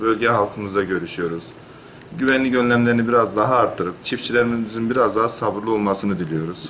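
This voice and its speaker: The pace is fairly quick, with ordinary pitch variation. Light background noise can be heard. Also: man. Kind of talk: interview answer. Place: office.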